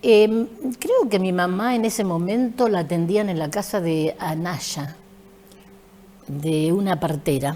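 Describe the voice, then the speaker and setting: A woman's medium-pitched voice at a very slow pace, with long, frequent pauses, ordinary pitch variation and noticeable background noise. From Argentina, San Andrés de Giles (Buenos Aires province). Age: 70s. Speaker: retired school teacher and principal. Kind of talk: interview.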